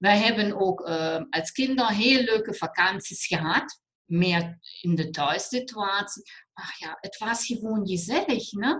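Lively intonation marks this woman's medium-pitched voice. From Germany. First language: German (speaking Dutch). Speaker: alternative therapist and cancer coach. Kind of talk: interview. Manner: halting, mixing Dutch and German.

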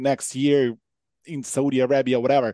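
Over a quiet background, a man with a Ukrainian accent speaks at a fairly slow pace in a dark, mellow, fairly high voice, the sound dry and close with no echo. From Ukraine. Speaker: football commentator and pundit. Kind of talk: casual chat. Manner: halting.

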